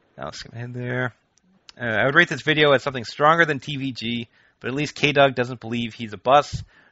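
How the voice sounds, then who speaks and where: Here a man uses a normal speaking voice at medium pitch with ordinary pitch variation. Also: big swings in loudness. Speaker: podcast host. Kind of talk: casual chat.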